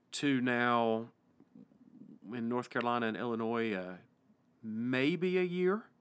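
A man with an East Tennessee accent speaks at a medium pitch with lively intonation. His pace is fairly slow, with long, frequent pauses. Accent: East Tennessee Southern US. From US South, East Tennessee. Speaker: pastor and podcast host. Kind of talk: casual interview conversation. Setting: church pastoral study, studio.

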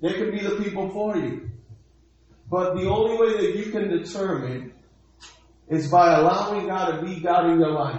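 A man's high-pitched voice at a moderate pace, with ordinary pitch variation, long, frequent pauses and noticeable background noise. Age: 40s. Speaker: pastor. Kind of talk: sermon. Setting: church livestream.

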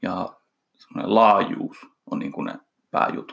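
A man speaks at a very slow pace. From eastern Finland, Kuopio. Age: 30s. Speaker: fitness coach and entrepreneur. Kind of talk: casual interview.

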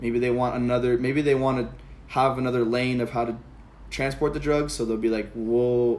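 At a moderate pace and medium pitch, a man speaks in an American accent with monotone, flat intonation. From Palm Springs, California. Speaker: college student guest. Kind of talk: casual chat.

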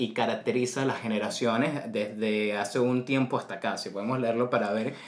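At a moderate pace, a man uses a plain, everyday voice at a medium pitch with ordinary pitch variation. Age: 20s. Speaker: podcast host. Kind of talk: casual chat.

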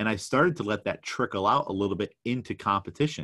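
In a normal speaking voice, a man talks at a fairly quick pace with a fairly low pitch and ordinary pitch variation, the sound dry and close with no echo against a quiet background. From New York. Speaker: weightlifting coach and podcast host. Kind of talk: solo podcast monologue. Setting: vacation rental room with rain noise.

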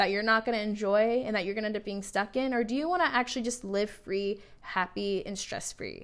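A woman's normal speaking voice, fairly high-pitched, at a fairly quick pace with ordinary pitch variation. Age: 20s. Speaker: solo podcast host. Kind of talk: casual monologue. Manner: casual and chatty with many fillers.

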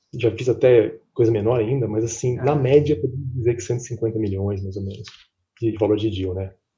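A man's somewhat breathy voice of medium pitch, dark and mellow in tone, with fairly even intonation at a moderate pace. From Brazil, São Paulo. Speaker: M&A advisor. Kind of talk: interview. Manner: halting, frequent fillers.

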